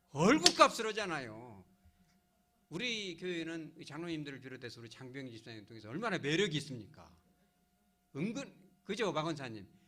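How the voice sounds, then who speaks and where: In a room with audible echo, a man with a bright, sharp tone and fairly high pitch speaks at a moderate pace, with long, frequent pauses. His pitch swings very widely and his loudness shifts a lot. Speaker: pastor. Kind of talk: sermon. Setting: church service. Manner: animated, conversational.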